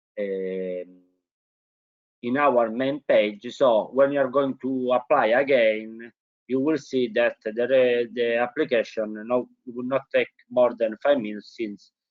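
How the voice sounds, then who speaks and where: Speaking with a strong non-native accent, a man of medium pitch talks at a fairly slow pace with fairly even intonation. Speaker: webinar presenter. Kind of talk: informational webinar presentation. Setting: online webinar. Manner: hesitant, many fillers.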